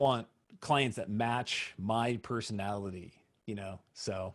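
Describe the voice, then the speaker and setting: The recording is very clean with a silent background. A man speaks at a fairly low pitch with fairly even intonation. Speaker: wedding photographer. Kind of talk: presentation Q&A. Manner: loud.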